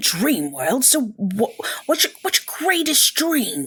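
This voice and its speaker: The speaker puts on a character voice with a fairly high pitch. The pace is fairly slow. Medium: actual play. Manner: casual, slightly unsure.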